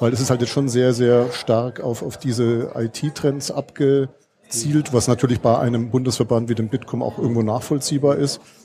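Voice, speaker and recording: Pausing hardly at all, a man talks at a medium pitch with fairly even intonation. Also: moderate pace. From Franconia, Germany. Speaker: podcast co-host. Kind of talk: casual chat. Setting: live recording at a conference.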